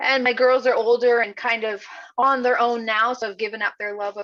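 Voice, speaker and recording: A woman speaks with a bright, sharp tone. Her pace is moderate. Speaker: financial advisor. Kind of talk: online presentation. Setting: video call.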